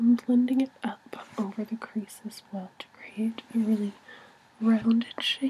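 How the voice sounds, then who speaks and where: Soft-spoken and fairly high in pitch, a woman talks at a fairly slow pace with monotone, flat intonation over noticeable background noise. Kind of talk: ASMR makeup tutorial.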